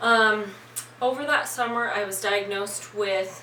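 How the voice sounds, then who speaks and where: A woman's fairly high voice at a fairly slow pace, fairly even in intonation, with noticeable background noise. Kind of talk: casual talk to camera. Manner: voice shaking in places.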